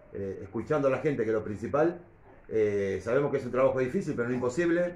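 A man talks at a fairly quick pace with ordinary pitch variation. There is audible room echo. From Argentina, Buenos Aires province. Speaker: local council candidate; council candidate. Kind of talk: press conference. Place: meeting room. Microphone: camera far.

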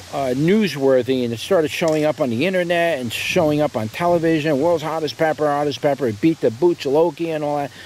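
A man rushes at a very fast pace with hardly any pauses, ordinary pitch variation, a dry sound with no echo and light background noise. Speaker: seed seller. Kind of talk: casual product review commentary. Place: garden.

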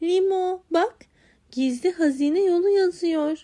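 A woman uses a put-on character voice at an extremely high pitch. Her pace is fairly slow. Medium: read story. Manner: cheerful, confident.

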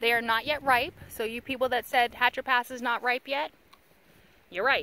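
A woman's high-pitched voice at a moderate pace, dry with no echo, over light background noise. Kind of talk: casual vlog chat. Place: open country. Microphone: phone near.

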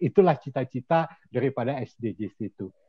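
Over a quiet background, a man talks at a fairly slow pace with ordinary pitch variation. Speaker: statistician; webinar presenter. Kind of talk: online academic presentation. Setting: video call. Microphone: video call.

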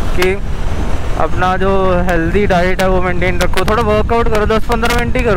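The speech moves at a moderate pace, with dry sound and no echo but noticeable background noise. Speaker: motovlogger. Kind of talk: casual vlog chat. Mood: earnest, advising on health. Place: motorbike. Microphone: helmet.

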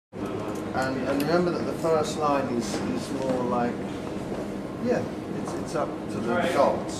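Over loud background noise, a man talks at a very slow pace with ordinary pitch variation. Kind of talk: casual behind-the-scenes chat. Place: studio. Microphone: phone near.

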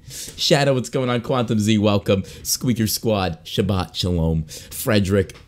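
An animated male voice, fairly low in pitch, at a fairly slow pace with hardly any pauses, amid noticeable background noise. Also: ordinary pitch variation. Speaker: gaming streamer. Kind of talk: live stream chat.

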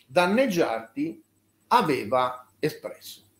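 Very slowly, a man speaks with very wide pitch swings as audible room echo surrounds him. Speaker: journalist. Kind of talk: interview. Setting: video call. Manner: halting.

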